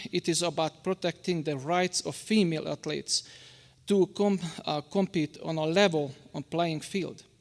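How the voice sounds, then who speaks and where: A man's high-pitched voice with a Hungarian accent, fairly slow pace and ordinary pitch variation, in a very clean recording with a silent background. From Hungary. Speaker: public commenter at school board meeting. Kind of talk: public comment speech. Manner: halting, with stumbles and restarts.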